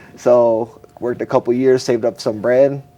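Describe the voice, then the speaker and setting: There is noticeable background noise behind this man. His medium-pitched voice stays monotone and flat. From Buffalo, New York, US. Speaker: entrepreneur and artist manager. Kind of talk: casual interview.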